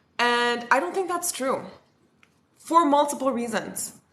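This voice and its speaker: A woman with high pitch and lively intonation speaks amid audible room echo. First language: French. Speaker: spiritual content creator. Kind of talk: livestream talk. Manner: casual, filler-heavy.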